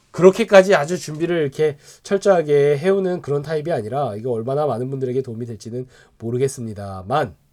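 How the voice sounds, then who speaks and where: Very fast and with lively intonation, a man speaks in a fairly high pitch with a dark, mellow tone. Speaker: pastor. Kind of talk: Bible study lecture. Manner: halting, filler-heavy.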